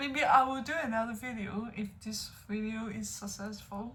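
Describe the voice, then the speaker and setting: There is audible room echo as a woman speaks with a non-native accent. Her voice is high-pitched with ordinary pitch variation. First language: not English. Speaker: music reaction youtuber. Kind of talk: music reaction video. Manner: halting.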